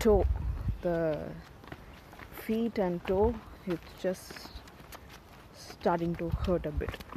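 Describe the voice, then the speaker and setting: A woman speaks with a Tamil accent and fairly even intonation. Noticeable background noise is present. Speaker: vlogger. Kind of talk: casual vlog narration. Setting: outdoors, hiking trail. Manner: halting.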